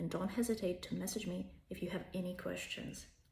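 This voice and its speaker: With a Russian accent, a woman talks at a fairly quick pace. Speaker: language tutor. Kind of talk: self-promotional pitch.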